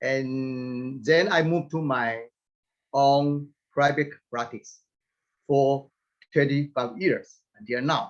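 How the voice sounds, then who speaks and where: Very slow and full of long, frequent pauses, a man speaks at a fairly high pitch. His pitch variation is ordinary. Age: 70s. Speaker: plastic surgeon. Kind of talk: lecture.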